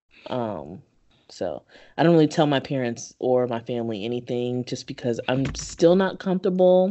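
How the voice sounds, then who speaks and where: Very deep in pitch for a woman, she speaks in an American accent with very wide pitch swings. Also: moderate pace. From Kentucky and Prince George's County, Maryland. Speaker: podcast host. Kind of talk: casual chat.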